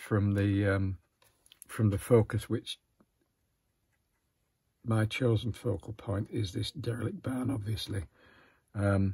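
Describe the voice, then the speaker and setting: Over a quiet background, a man talks at a very slow pace and a fairly low pitch. His voice is somewhat breathy with a dark, mellow tone. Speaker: watercolour artist demonstrating. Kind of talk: tutorial. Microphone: phone near.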